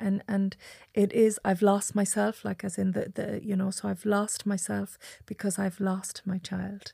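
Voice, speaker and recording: Calm and somewhat breathy, a dark, mellow voice with a west of Ireland accent moves at a moderate pace in a monotone, flat intonation, captured on a very clean recording with a silent background and a dry, close sound with no echo. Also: woman. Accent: west of Ireland Irish. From Ireland, Achill Island, County Mayo. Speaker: psychotherapist. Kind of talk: casual chat.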